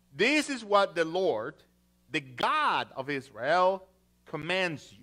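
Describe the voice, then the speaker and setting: With music playing in the background, a man talks very slowly in a high pitch that swings very widely. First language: not English. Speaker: pastor. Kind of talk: sermon. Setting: church. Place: church.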